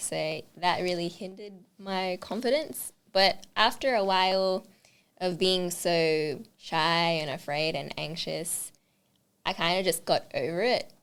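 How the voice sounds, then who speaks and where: The voice has an Australian accent and ordinary pitch variation. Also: woman, very clean recording, silent background. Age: 20s. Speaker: makeup artist. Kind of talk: interview. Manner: fast.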